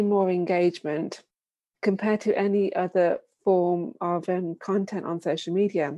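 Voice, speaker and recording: Here a woman speaks with a British accent. Her tone is dark and mellow. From UK. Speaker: video marketing business founder. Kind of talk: casual interview chat.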